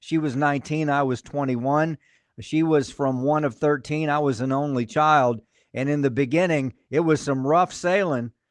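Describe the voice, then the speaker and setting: A man with an ordinary speaking voice talks at a moderate pace in a fairly high pitch, his intonation fairly even over a quiet background. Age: 60s. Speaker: pastor and podcast host. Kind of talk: casual interview chat.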